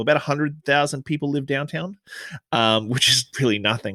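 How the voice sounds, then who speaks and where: A man's bright, sharp voice at a fairly quick pace. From Australia. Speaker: bartender and podcaster. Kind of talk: interview conversation. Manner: articulate.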